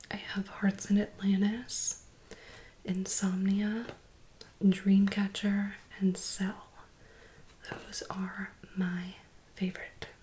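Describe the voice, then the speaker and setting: Long, frequent pauses break up speech at a very slow pace, with noticeable background noise behind it. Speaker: ASMR content creator. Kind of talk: casual talk to camera. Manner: soft-spoken, whispering.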